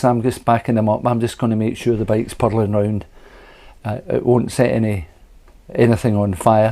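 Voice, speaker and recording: Speaking at a fairly quick pace in a Scottish accent, a man has a medium pitch and a dark, mellow tone. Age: 70s. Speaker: retired scooter racer. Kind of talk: interview answer.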